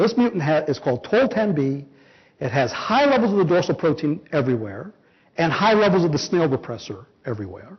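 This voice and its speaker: A high-pitched man with an American accent, his pitch swinging very widely. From Los Angeles. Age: 50s. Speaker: biology professor. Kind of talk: lecture. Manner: fast.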